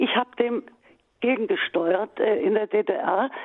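The voice belongs to a woman. It sits fairly high in pitch. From East Germany. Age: 70s. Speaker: writer. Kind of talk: interview. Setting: recorded interview.

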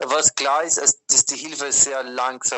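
A man talks at a very slow pace. His intonation is monotone and flat. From Austria. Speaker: Jesuit aid worker. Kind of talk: interview. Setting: WhatsApp call. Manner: hesitant, many fillers.

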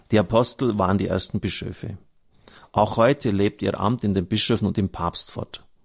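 The speaker has a slight Bavarian accent and a fairly even intonation at a moderate pace. The sound is dry and close, with no echo. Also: man, fairly low pitch for a man. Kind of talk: reading aloud from a book with commentary.

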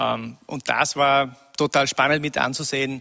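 A man speaks very slowly in a bright, sharp tone at a fairly high pitch. His intonation is monotone and flat. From Upper Austria, rural. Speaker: former music industry manager. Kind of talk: interview.

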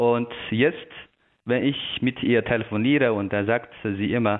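A man with a Chinese accent speaks with ordinary pitch variation. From China. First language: Chinese (speaking German). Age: young. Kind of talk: radio interview. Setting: remote connection. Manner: halting.

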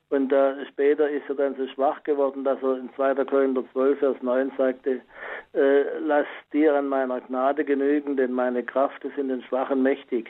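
The man's voice sits at a fairly high pitch, delivered with monotone, flat intonation. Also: moderate pace. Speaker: caller. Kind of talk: testimony on faith. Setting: phone call.

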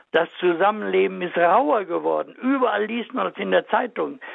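A man with a high pitch, at a fairly slow pace. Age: 90s. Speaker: marriage and family counselor. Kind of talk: radio interview.

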